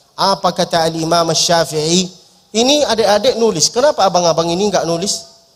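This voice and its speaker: Animated in tone, a man speaks at a fairly quick pace with ordinary pitch variation. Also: very even loudness. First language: Arabic (speaking Indonesian). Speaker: preacher. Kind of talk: sermon. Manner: humorous, animated.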